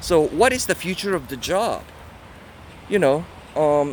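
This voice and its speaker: Against noticeable background noise, a man with a non-native accent speaks at a fairly slow pace. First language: not English. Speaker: book reviewer. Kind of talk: casual talk. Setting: outdoors in a park. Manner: halting, many fillers.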